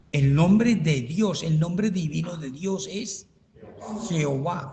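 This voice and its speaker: An animated tone and lively intonation, with audible room echo. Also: man. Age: 70s. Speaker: pastor. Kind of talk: Bible study teaching.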